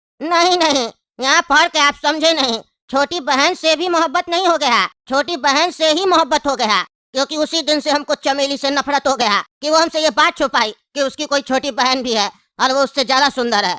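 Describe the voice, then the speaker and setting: The speaker does a put-on character voice with a high pitch. The pace is fairly quick. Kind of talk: comic interview answer.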